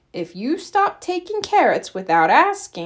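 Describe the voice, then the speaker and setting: Putting on a character voice, she pitches it extremely high for a woman. Her delivery comes at a fairly slow speed. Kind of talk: children's picture book read-aloud. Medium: read story. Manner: lively, expressive.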